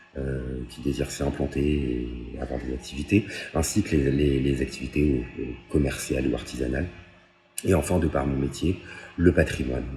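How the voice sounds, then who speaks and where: A man's very deep, low voice at a moderate pace, ordinary pitch variation, and long, frequent pauses, with music in the background. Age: 30s. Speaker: municipal election candidate. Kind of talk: candidate self-presentation. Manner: halting, many hesitations.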